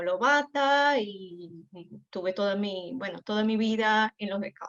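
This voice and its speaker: Very slow speech from a woman, medium in pitch. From Brazil. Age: 40s. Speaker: scout volunteer. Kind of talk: round-table discussion.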